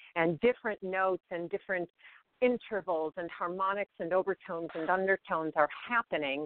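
A woman speaks with an American accent at medium pitch and a moderate pace, with ordinary pitch variation. It is an ordinary speaking voice. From Chicago, US Midwest. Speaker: singer and sound healer. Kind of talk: interview.

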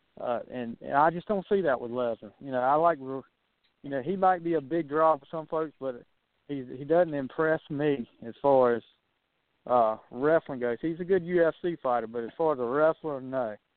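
Moving at a moderate pace, a man with a fairly high pitch has an ordinary speaking voice. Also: ordinary pitch variation. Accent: American. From US South. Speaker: wrestling analyst. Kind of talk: casual chat.

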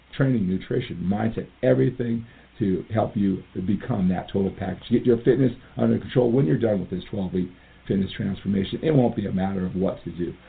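Here a man talks at a fairly quick pace. His pitch is fairly low, with ordinary variation. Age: 50s. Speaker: fitness coach and podcast host. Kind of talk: motivational monologue. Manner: animated.

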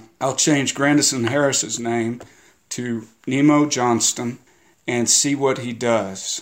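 The speaker goes at a very slow pace with fairly even intonation. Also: man, medium pitch for a man. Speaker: novelist. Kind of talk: guest intro about history.

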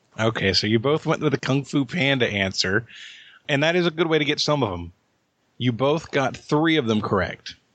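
Using a normal speaking voice, a man at medium pitch talks at a moderate pace with lively intonation. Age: 40s. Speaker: trivia quizmaster. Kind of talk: game show quizzing.

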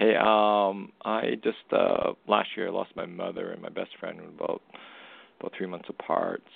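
Fairly slow male speech with big swings in loudness. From Canada. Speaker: caller seeking a reading. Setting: phone call.

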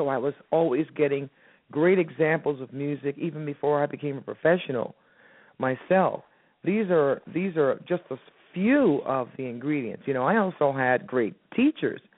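A woman speaks with an American accent at a moderate pace. Her pitch is very deep and low. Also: ordinary pitch variation. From US South, Miami, Florida. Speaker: jazz and soul singer. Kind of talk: interview.

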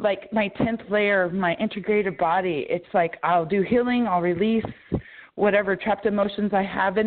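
With an ordinary speaking voice, a woman talks at a moderate pace in a medium pitch, with ordinary pitch variation. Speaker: caller. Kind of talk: casual chat. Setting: phone call.

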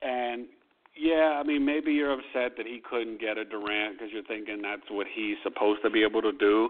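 Using a plain, everyday voice, a man talks at a fairly quick pace with a medium pitch and ordinary pitch variation. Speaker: sports radio host. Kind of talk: sports talk radio show. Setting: phone-in radio show.

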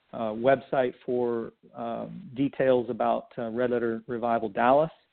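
A man with an American accent speaks at medium pitch in a normal speaking voice. His intonation is fairly even. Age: 50s. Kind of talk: interview. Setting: radio show.

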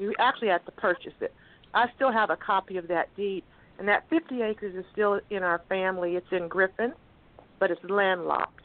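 With an unremarkable speaking voice, a woman talks at a moderate pace and medium pitch, using ordinary pitch variation. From Texas (Cameron). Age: 60s. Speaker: guest family member. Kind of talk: phone interview, family stories. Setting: phone call.

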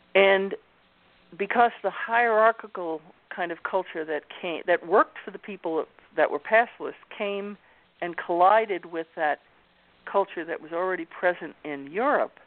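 A woman's medium-pitched voice with a slight New York accent, moderate pace, ordinary pitch variation, big swings in loudness and long, frequent pauses. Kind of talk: interview conversation.

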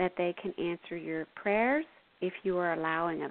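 A woman speaks at a fairly slow pace with ordinary pitch variation. She has an ordinary speaking voice. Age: 50s. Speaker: intuitive counselor and spiritual radio show host. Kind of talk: spiritual talk with guided meditation and call-in readings. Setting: internet radio call-in show.

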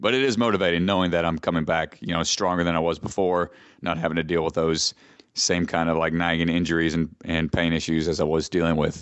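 A man with a very deep, low pitch, a very fast pace, fairly even intonation and very even loudness. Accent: Southern US. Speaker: ninja athlete and personal trainer. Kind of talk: casual interview.

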